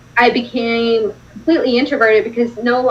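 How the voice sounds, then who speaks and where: With ordinary variation in her pitch, a woman talks at a fairly high level. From Russia. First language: Russian. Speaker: non-profit founder. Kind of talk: interview on a live stream. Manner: casual, lots of filler words.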